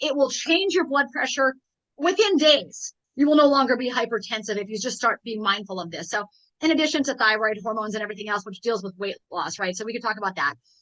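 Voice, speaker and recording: Very fast and animated, a woman with an American accent talks at a fairly high pitch in a bright, sharp tone, with lively intonation and big swings in loudness. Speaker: health and fitness coach. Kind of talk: interview conversation.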